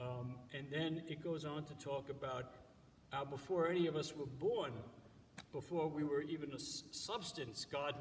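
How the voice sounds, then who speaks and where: Audible room echo colors the voice of a man with an American accent, whose pitch is fairly high with ordinary variation. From New York. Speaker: church organist giving devotions. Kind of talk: devotional talk. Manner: halting, many fillers.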